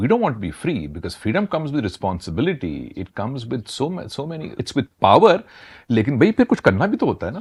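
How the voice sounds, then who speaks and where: A man with a fairly high pitch and vocal fry speaks with very wide pitch swings and big swings in loudness, the sound dry and close with no echo over a quiet background. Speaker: talk show host. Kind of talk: interview question.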